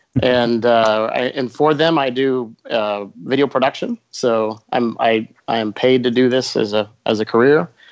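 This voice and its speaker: This man has a normal speaking voice, medium in pitch, with an American accent. He speaks at a fairly slow pace with fairly even intonation. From Florida, US. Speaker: video production manager. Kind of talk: casual chat.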